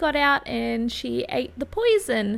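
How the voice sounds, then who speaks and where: A woman talks with an Australian accent. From Australia, New South Wales countryside west of Sydney. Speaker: YouTuber. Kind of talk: personal life story narration.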